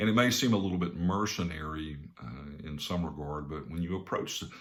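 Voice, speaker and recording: In a room with audible echo, a man with a Southern US accent talks at a fairly quick pace in a very deep, low pitch with ordinary pitch variation. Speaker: business coach and speaker. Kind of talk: talk to camera with personal story. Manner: casual, conversational with fillers.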